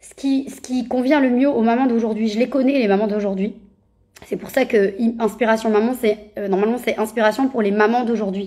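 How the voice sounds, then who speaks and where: A woman's fairly high-pitched voice with a dark, mellow tone, fairly even intonation, a fairly quick pace and big swings in loudness. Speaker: parenting coach. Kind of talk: Instagram live talk. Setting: Instagram live video. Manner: fast; hesitant, many fillers.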